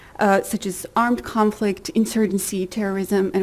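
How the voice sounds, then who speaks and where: A woman speaks at a medium pitch. Vocal fry runs through her voice. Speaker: lawyer and academic presenter. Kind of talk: conference talk. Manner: hesitant, many fillers.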